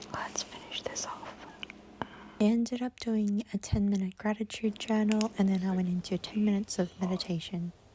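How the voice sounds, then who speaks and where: With noticeable background noise behind her, a woman speaks at medium pitch in a monotone, flat way. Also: moderate pace. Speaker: lifestyle vlogger. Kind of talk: vlog narration. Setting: at home early morning.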